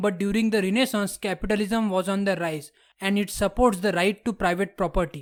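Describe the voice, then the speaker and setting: A high-pitched man with a non-native accent at a moderate pace, in a very clean recording with a silent background. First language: not English. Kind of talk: history documentary narration.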